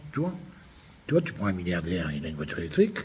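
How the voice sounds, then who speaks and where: This man's voice is somewhat breathy and has an animated tone. His pitch swings very widely. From France, Limoges. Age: 60s. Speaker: vlogger. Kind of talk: angry rant monologue.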